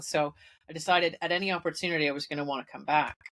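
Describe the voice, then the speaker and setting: At a fairly quick pace, a woman with a Canadian accent speaks with fairly even intonation and a very deep, low pitch. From Canada, Toronto. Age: 50s. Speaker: IT consultant. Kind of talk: podcast interview. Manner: hesitant, many fillers.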